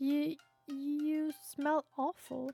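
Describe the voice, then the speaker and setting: In a put-on character voice, the speaker uses a high pitch with monotone, flat intonation. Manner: shrieking, disgusted.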